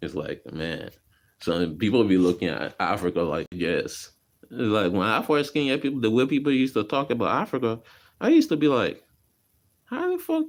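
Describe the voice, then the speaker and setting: A man's animated, medium-pitched voice with vocal fry, lively intonation and a moderate pace. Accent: Liberian. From Liberia (West Point, Monrovia). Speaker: vlogger. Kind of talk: casual storytelling vlog. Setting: garage. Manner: casual, animated.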